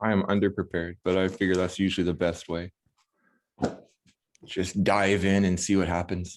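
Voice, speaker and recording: His very deep, low voice holds a flat monotone and very even loudness, broken by long, frequent pauses. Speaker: election group participant. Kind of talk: casual discussion. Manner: fast.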